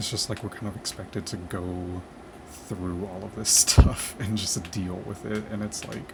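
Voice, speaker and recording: Soft-spoken and whispering, a man talks at a moderate pace over noticeable background noise. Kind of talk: soft-spoken ramble to camera, casual talk; ASMR-style gaming vlog. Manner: soft-spoken, whispery, low-fi.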